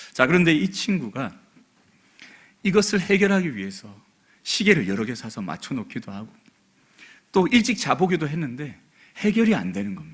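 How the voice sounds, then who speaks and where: A man's fairly high voice with vocal fry, very wide pitch swings, big swings in loudness, and long, frequent pauses. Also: moderate pace. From South Korea, Busan. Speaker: pastor. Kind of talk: sermon. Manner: soft-spoken.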